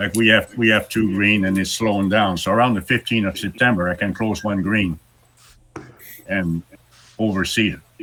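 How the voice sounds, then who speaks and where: At a moderate pace, a man speaks in a bright, sharp tone with fairly even intonation, broken by long, frequent pauses. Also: fairly low pitch for a man. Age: 80s+. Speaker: greenskeeper. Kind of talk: Q&A session. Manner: halting, many repetitions.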